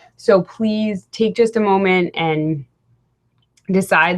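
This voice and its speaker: This is a woman speaking at a medium pitch. She uses an ordinary speaking voice. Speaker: personal development coach. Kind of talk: webinar presentation. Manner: casual, upbeat.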